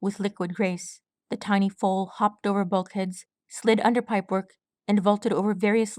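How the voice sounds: Quiet background, a natural reading voice, and fairly even intonation.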